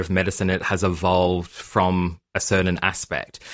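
Moderate pace in an Australian accent, on a very clean recording with a silent background. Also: man. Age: 30s. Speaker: genetic counsellor. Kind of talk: interview answers, casual explanatory chat. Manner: hesitant, many fillers.

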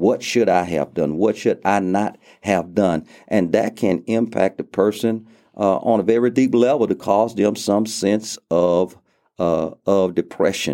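A man talks at a fairly slow pace with ordinary pitch variation. The recording is very clean, with a silent background. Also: fairly low pitch for a man, very even loudness. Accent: Louisiana. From US South, southwest Louisiana (Lake Charles). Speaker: pastor. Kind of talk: interview. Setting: studio.

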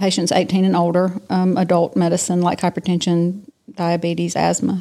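Dark, mellow tone with a Southern US accent. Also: woman. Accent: Southern US (Georgia). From US South, south Georgia. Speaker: physician. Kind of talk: interview. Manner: hesitant with many fillers.

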